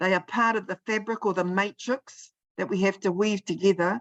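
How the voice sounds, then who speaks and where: With a New Zealand accent, a woman talks at a fairly quick pace with fairly even intonation. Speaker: presenter at policy briefing. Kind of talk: online briefing presentation. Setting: video call.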